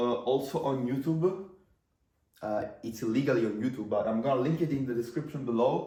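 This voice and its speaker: A man speaks with an Italian accent at a medium pitch, with ordinary pitch variation. His tone is dark, mellow and somewhat breathy, and room echo is audible. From Italy. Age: 20s. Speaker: marketing entrepreneur. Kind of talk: casual talking-head video. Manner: casual, filler-heavy.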